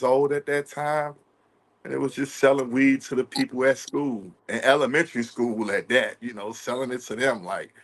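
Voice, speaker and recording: Fairly even intonation at a moderate pace against a quiet background. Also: man. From Washington DC. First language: American Sign Language. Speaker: ASL interpreter, formerly incarcerated. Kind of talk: interview testimony.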